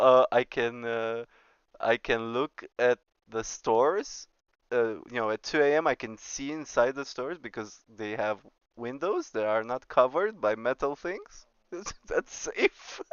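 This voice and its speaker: A man with a Romanian accent, medium-pitched and fairly slow, with ordinary pitch variation. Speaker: streamer and astrophysics teacher. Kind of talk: casual chat while gaming on stream. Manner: halting.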